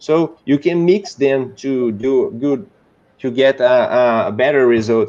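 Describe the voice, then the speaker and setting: This man speaks at a very slow pace with a Brazilian Portuguese accent. His pitch is medium, with ordinary pitch variation. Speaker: 3D modeler. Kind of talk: casual chat. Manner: halting.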